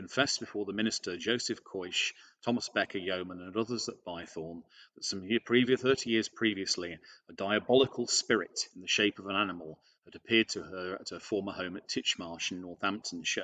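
A man talks in a fairly low pitch with ordinary pitch variation. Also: fairly quick pace, quiet background. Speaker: presenter. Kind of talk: lecture. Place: home room. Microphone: webcam.

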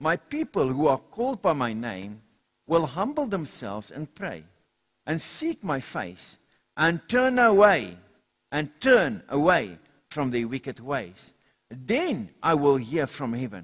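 Very slow speech from a man, quiet background behind him. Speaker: pastor. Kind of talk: sermon. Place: church.

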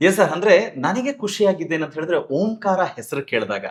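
A man is speaking. His pitch swings very widely. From Karnataka. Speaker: talk show host and emcee. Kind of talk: interview. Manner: animated.

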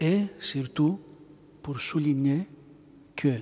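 A man's somewhat breathy, dark and mellow voice, fairly high in pitch, with ordinary pitch variation and a very slow pace. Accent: Greek. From Greece. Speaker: bishop. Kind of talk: lecture. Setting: church. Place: church. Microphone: podium.

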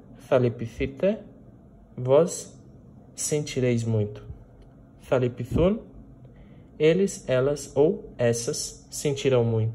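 A very slow, somewhat breathy delivery with a dark, mellow tone, lively intonation and long, frequent pauses. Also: man. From Brazil, Minas Gerais. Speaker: Greek language teacher. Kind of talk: lecture. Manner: frequent filler hesitations.

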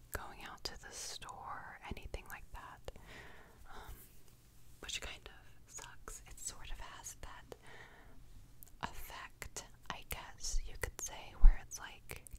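A woman whispers at a very slow pace, soft-spoken throughout. Her loudness swings widely, with noticeable noise behind her. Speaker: home video creator. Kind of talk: casual vlog chat, soft ASMR-style. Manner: soft close-mic rambling whisper. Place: home room. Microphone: studio mic.

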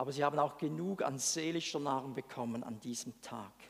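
Spoken at a moderate pace, the voice shows ordinary pitch variation. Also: man. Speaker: preacher. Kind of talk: sermon. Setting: church. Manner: animated; conversational. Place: church. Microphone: headset.

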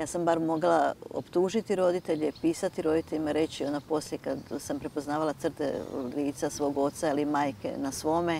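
A woman with a very deep, low pitch and a dark, mellow tone speaks at a moderate pace with fairly even intonation, the sound dry with no echo and light background noise behind it. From eastern Croatia (Slavonia); Croatia. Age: 60s. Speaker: writer and university lecturer; university lecturer. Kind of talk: TV interview. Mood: calm, reflective. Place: garden.

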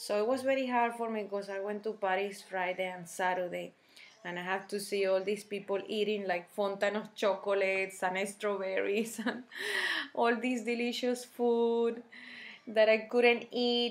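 A woman speaks in a Spanish accent at medium pitch. Her pace is moderate and her intonation fairly even. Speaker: health vlogger. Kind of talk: personal testimony and product tutorial. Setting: home video recording. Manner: halting, many fillers. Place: kitchen. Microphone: webcam.

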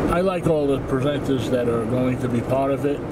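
A man's voice over loud background noise. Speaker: channel host. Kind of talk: casual vlog chat. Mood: calm, reflective. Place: car. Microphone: phone near.

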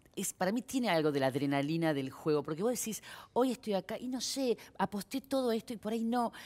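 Her pitch swings very widely as a woman races along at a very fast pace. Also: medium pitch for a woman. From Argentina. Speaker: actress. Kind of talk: casual chat. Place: studio. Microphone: headset.

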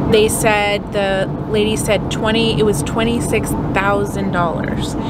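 Loud noise fills the background, and the sound is dry with no echo. The delivery moves at a fairly slow pace. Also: woman. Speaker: family travel vlogger. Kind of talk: casual vlog chat. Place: car. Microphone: phone near.

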